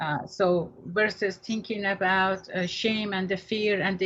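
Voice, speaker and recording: Fairly slow and somewhat breathy, a woman speaks at a medium pitch with fairly even intonation. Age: 60s. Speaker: therapist and radio host. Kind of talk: radio talk show discussion.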